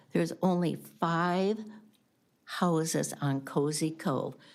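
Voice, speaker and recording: At a very slow pace, a woman with an American accent and a fairly low pitch speaks with ordinary pitch variation in a very clean recording with a silent background. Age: 80s+. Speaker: public commenter, lake property owner. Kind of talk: public comment at county board meeting. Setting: county board meeting room.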